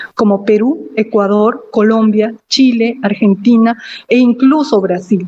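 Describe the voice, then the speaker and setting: A woman with a Cusco Andean accent speaks very slowly in a fairly high, somewhat breathy voice with a dark, mellow tone and ordinary pitch variation. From Peru, Cusco (Acomayo). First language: Quechua (speaking Spanish). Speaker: invited speaker, Quechua speaker. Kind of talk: formal speech. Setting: virtual ceremony.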